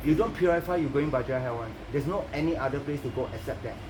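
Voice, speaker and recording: There is audible room echo and noticeable background noise. A man talks at a fairly quick pace. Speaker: Buddhist teacher. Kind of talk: dharma teaching. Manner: fast.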